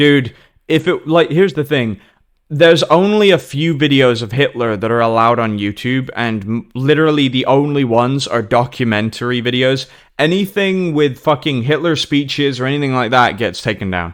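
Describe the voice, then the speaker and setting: A man with a British accent talks at a moderate pace and medium pitch, his tone animated and his intonation lively. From Germany. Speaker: podcast host and interviewer. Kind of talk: casual chat.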